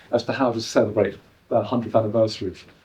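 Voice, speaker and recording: A man's medium-pitched voice with a dark, mellow tone and an English accent. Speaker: artist and producer. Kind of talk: live performance talk to audience. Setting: exhibition venue with live audience. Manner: hesitant, many ums and uhs.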